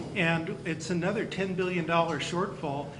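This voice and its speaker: A man with an American accent and high pitch at a moderate pace, with noticeable background noise and audible room echo. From California (near Campbell). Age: 60s. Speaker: county school superintendent. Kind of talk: speech to luncheon audience. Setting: banquet luncheon.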